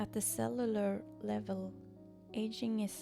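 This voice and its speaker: Music sounds in the background. Over it, a woman speaks at a fairly slow pace. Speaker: artist and painter. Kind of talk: reflective video essay narration. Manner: occasionally stumbling over words.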